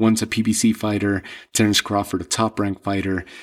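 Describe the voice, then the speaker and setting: A man with a fairly low voice speaks at a moderate pace on a very clean recording with a silent background. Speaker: combat sports podcast host. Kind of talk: solo commentary monologue. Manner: halting with fillers and repeats.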